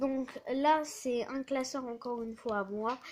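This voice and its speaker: A woman with a high pitch. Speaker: YouTuber showing card collection. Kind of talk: casual show-and-tell. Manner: casual, animated.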